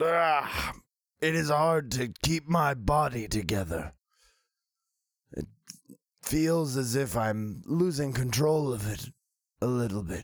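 A man's put-on character voice, medium in pitch, at a fairly slow pace with long, frequent pauses. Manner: formal, slow, earnest.

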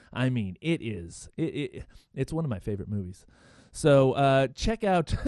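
Against a quiet background, a man with a medium pitch speaks at a moderate pace in an animated tone, with very wide pitch swings and a dry, close sound with no echo. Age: 40s. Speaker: radio-style podcast host. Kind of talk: casual morning show talk; read sponsor ad. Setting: studio. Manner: halting, many fillers.

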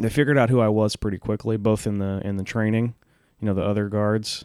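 A man with a Texan accent and a dark, mellow tone talks at a fairly quick pace with fairly even intonation. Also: very clean recording, silent background. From Huntsville, Texas. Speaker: comedian. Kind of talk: storytelling.

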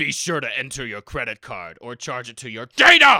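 A raspy put-on character voice at a moderate pace. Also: man, medium pitch for a man. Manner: stern, gravely formal.

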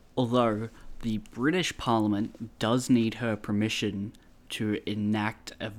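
With an Australian accent, a man talks at a fairly slow pace in a fairly low pitch, his intonation fairly even. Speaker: podcast co-host. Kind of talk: casual chat. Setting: remote call.

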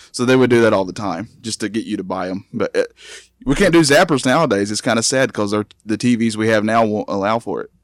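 Delivery is fairly quick, with an animated tone and ordinary pitch variation. The sound is dry and close, with no echo. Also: man, medium pitch for a man. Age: 30s. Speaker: video game expert guest. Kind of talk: casual podcast chat. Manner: animated, jokey.

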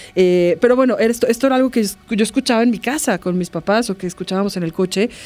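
The delivery is very fast, with ordinary pitch variation. The tone is dark and mellow. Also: woman. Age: 40s. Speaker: art professor and podcast co-host. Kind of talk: casual chat.

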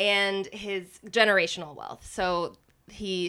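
A woman's bright, sharp tone with fairly even intonation, in a very clean recording with a silent background. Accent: American. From Austin, Texas. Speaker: podcaster and actor. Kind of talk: casual interview chat.

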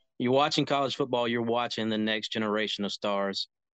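Using a plain, everyday voice, a man talks at medium pitch with ordinary pitch variation. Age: 20s. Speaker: college football scout. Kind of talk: casual chat.

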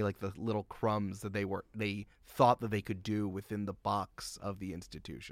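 In an American accent, a man with a plain, everyday voice talks at a fairly quick pace and a fairly low pitch, with hardly any pauses. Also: dry, close sound with no echo. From Westchester County, New York. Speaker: podcast producer. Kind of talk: casual chat.

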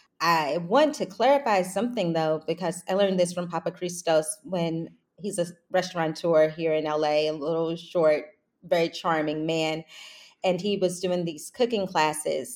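This is an unremarkable speaking voice from a woman with a fairly low pitch. She talks at a moderate pace with ordinary pitch variation. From Kentucky, Louisville (US South). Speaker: chef. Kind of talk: interview.

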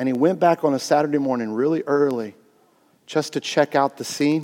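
A man with an American accent, a dark, mellow tone and a fairly quick pace. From US Midwest, Indiana. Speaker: pastor. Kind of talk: sermon. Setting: church. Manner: casual, animated.

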